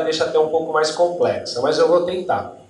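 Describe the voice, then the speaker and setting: Noticeable background noise and audible room echo surround a man's voice. He talks at a fairly quick pace with ordinary pitch variation. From Brazil, Northeast (Paraíba backcountry). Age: 40s. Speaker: HR manager, invited speaker. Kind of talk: lecture.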